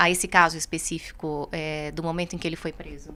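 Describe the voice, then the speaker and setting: A woman speaks at a fairly quick pace. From Minas Gerais, Itajubá. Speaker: radio host and journalist. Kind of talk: radio interview on news.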